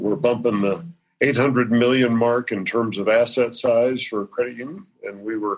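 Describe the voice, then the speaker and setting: This man speaks at a moderate pace and a medium pitch. His intonation stays fairly even. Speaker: credit union CEO. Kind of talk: interview.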